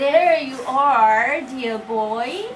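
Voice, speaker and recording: Using a put-on character voice, a woman speaks high and shaky with ordinary pitch variation over clear background noise. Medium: read story. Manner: warm, affectionate.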